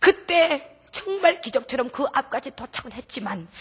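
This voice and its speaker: A raised, projected voice with very wide pitch swings at a fairly slow pace. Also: woman. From North Korea. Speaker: missionary, North Korean defector. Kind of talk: testimony. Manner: emotional.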